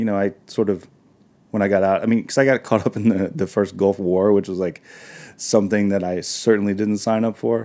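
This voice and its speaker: On a very clean recording with a silent background, a man with an American accent talks at a fairly quick pace and a fairly low pitch. His is a plain, everyday voice with fairly even intonation. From US South, northern Arkansas. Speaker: chef and restaurateur. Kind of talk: interview. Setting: studio.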